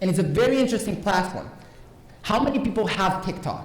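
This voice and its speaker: A man with a Romanian accent uses lively intonation. Noticeable background noise and audible room echo surround him. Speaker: conference speaker. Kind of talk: conference talk. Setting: stage with audience. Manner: animated.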